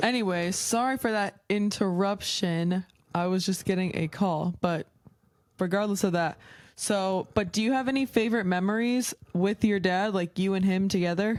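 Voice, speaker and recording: Speaking in an unremarkable speaking voice, a woman keeps a medium pitch, moderate pace, fairly even intonation and very even loudness on a very clean recording with a silent background. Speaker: podcast host. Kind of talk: casual podcast interview.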